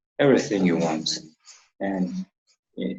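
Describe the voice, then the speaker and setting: With a Mongolian accent, a man talks using lively intonation. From Mongolia, Ulaanbaatar. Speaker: university student. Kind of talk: interview. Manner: halting.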